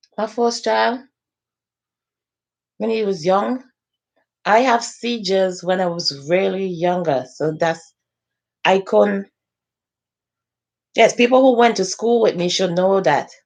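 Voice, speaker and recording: A woman speaks at a fairly slow pace with long, frequent pauses. Her medium pitch moves in very wide swings. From Saint Vincent. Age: 40s. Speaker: social media live host. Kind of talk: casual live-stream talk. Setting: facebook live stream.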